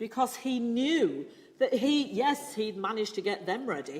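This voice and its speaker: A woman with a British accent speaks very slowly at a fairly high pitch, her voice showing vocal fry and very wide pitch swings amid audible room echo. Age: 60s. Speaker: preacher and church musician. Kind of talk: sermon.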